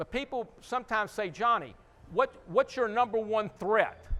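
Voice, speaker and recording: Speaking in a Texan accent, a man projects a raised voice at a high pitch with a bright, sharp tone and a fairly slow pace. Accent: Texan American English. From Houston, Texas. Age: 60s. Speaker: restaurant owner. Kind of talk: conference talk. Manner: casual, conversational.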